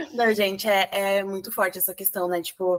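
This woman has a medium-pitched voice and fairly even intonation. She talks at a moderate pace. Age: 20s. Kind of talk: casual chat.

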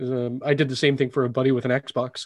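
A man is speaking. His pitch is medium. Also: quiet background. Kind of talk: casual chat.

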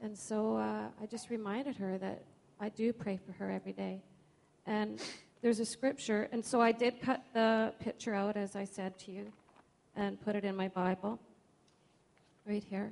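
At a moderate pace with long, frequent pauses, a woman speaks in a medium pitch with monotone, flat intonation. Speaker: churchgoer sharing testimony. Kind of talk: testimony. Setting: church.

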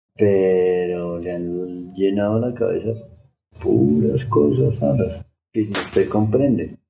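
A man is speaking. Music plays in the background. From Colombia, Bogotá. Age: 40s. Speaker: shamanic medicine healer. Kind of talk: podcast interview.

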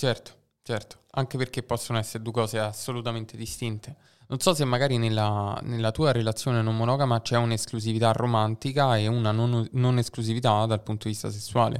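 A man's medium-pitched voice comes in a monotone, flat intonation on a very clean recording with a silent background. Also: fairly quick pace. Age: 20s. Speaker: podcast host. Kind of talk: casual interview chat.

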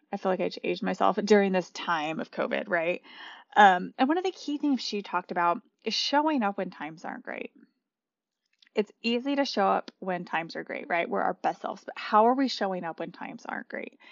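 A woman with a medium-pitched voice talks at a fairly quick pace in an American accent, with lively intonation and vocal fry. Her loudness swings widely. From US Southwest, New Mexico. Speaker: podcast host and coach. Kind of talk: interview; podcast monologue.

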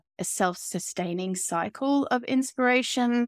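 In an Australian accent, a woman talks at a fairly slow pace. The sound is dry and close with no echo, on a very clean recording with a silent background. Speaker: artist and creative coach. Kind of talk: interview conversation.

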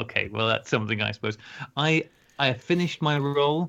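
A man with a British accent at a fairly quick pace, his pitch swinging very widely, against a quiet background. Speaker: podcast co-host. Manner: loud.

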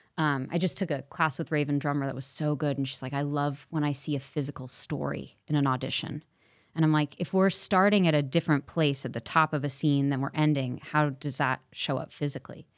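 With an American accent, a woman speaks in a very deep, low pitch at a fairly quick pace. She hardly pauses, and the recording is very clean with a silent background. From Los Angeles. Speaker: actress. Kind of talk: casual chat.

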